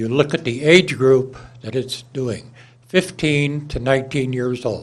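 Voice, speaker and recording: He speaks with some breathiness. His voice is pitched in the middle range. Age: 80s+. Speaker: public commenter, licensed firearms dealer. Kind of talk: public comment at city council. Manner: halting with frequent uh.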